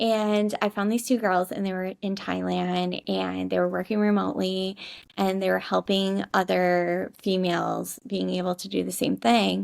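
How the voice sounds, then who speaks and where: In a very clean recording with a silent background, a woman with a Midwestern American accent speaks at a fairly slow pace in an animated tone. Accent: Midwest American. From US Midwest, Michigan. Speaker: digital nomad, social media marketer. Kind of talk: podcast interview. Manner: animated, chatty.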